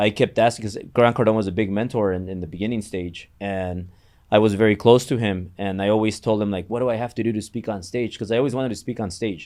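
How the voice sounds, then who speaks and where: Speaking with a Mexican accent, a man talks at a very fast pace in a fairly low pitch. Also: fairly even intonation. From Mexico. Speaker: entrepreneur and mortgage business owner. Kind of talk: podcast interview.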